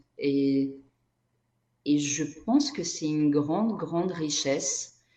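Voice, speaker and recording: In a Portuguese accent, a woman speaks at a very slow pace with a very deep, low pitch and a dark, mellow tone. Her pitch varies in an ordinary way, and room echo is audible. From Brazil. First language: Portuguese (speaking French). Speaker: energy therapist and writer. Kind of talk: interview conversation.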